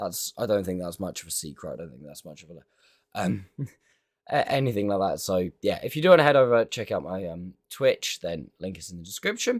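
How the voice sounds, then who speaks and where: A man speaks with a British accent at a fairly quick pace. The recording is very clean, with a silent background. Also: big swings in loudness. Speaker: gaming youtuber. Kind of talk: gameplay commentary outro. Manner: halting, many fillers.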